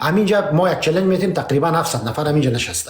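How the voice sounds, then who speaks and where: With a Pashto accent, a man talks very fast in a fairly high voice, his intonation lively and the room echo audible. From Afghanistan (Pashtun). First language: Pashto (speaking Persian). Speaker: political debate host. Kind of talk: heated debate. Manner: animated.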